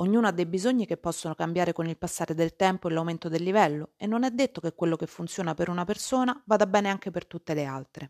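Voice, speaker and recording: A woman talks at a very fast pace with hardly any pauses, her pitch fairly low. The recording is very clean, with a silent background and a dry, close sound with no echo. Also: ordinary pitch variation. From Rome, Italy. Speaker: Italian language teacher and podcaster. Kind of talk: scripted podcast monologue for language learners. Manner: clear and measured.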